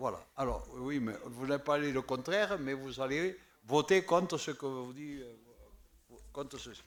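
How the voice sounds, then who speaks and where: A man with a southern French accent talks at a fairly slow pace and a fairly high pitch. His pitch variation is ordinary, but his loudness swings widely. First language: Occitan (speaking French). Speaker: municipal councillor. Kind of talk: council debate. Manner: halting, repeats words.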